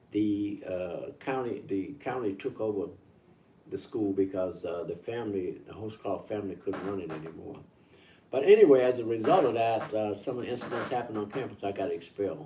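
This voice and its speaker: Fairly low in pitch, a man's voice has a dark, mellow tone and is somewhat breathy. He talks at a fairly quick pace with ordinary pitch variation. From Mississippi, US South. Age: 80s+. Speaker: civil rights elder. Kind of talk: interview.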